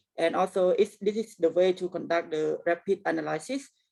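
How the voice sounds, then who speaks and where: A woman speaks with a Cambodian accent. Her pitch is fairly low. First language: Khmer. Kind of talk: presentation. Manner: halting, many fillers.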